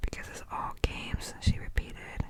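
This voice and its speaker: Someone whispers over noticeable background noise. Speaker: ASMR creator. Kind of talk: novel read aloud for relaxation. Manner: whispered.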